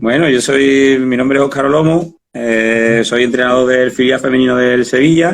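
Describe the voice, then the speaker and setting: With an Andalusian accent, a man at medium pitch talks at a moderate pace with fairly even intonation, very even loudness and hardly any pauses. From Spain, Andalusia. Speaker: football coach. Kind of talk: interview. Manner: halting.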